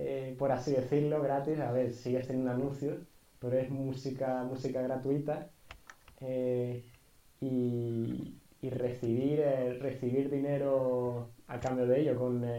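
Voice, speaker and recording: Very slowly, a dark, mellow voice delivers its words in a flat monotone, with audible echo from the room. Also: man, medium pitch for a man. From Andalusia, Spain (Jerez de la Frontera). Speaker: podcast co-host, university student. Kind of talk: casual chat. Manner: halting, many fillers.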